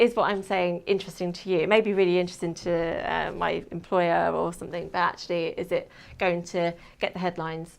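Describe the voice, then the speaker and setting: A woman with a southern English accent at a fairly quick pace. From England, Kent. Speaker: PR and media manager, former journalist. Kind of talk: talk to an audience. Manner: hesitant, many fillers.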